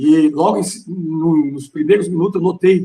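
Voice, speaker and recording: A man speaks with a dark, mellow tone and vocal fry at a fairly high pitch. His pitch varies in an ordinary way. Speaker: pastor and theology teacher. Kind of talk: lecture. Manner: forceful, strong tone.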